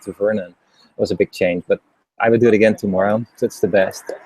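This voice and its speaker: Someone speaks with a Dutch accent in a dry, close sound with no echo. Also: man. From Netherlands. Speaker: interviewer and former executive. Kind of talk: interview.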